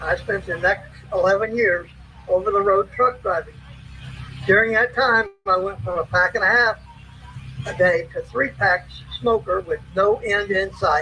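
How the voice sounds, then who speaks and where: A man talks at a fairly slow pace with long, frequent pauses, noticeable background noise behind him. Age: 60s. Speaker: army veteran and former truck driver speaking at a rally. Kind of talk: prepared rally speech.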